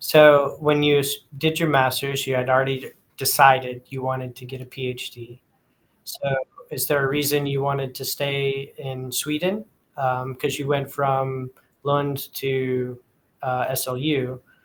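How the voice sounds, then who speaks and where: A man with an American accent speaks at a fairly high pitch. His pace is fairly slow and his intonation monotone and flat. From East Texas. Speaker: podcast host. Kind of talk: casual interview.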